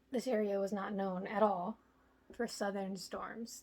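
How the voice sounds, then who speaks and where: A woman's quiet, very slow speech with monotone, flat intonation. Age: 20s. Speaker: home DIY vlogger. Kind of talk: casual vlog talk. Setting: indoors at home.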